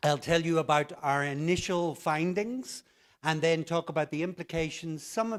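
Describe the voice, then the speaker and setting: Here a man with an Irish accent speaks at a fairly quick pace, fairly high in pitch with ordinary variation. The recording is very clean with a silent background, and the sound is dry and close with no echo. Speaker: conference plenary speaker, English teaching director. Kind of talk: conference keynote talk. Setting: stage with audience.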